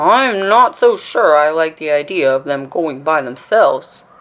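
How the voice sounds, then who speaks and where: Putting on a character voice, a woman speaks at a very deep, low pitch and a moderate pace. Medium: read story.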